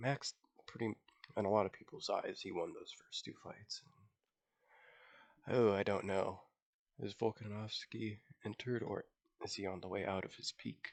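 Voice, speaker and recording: Quiet and at a moderate pace, a man speaks with long, frequent pauses in a dry, close sound with no echo. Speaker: MMA fan YouTuber. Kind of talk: casual talk to camera. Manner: hesitant, many fillers.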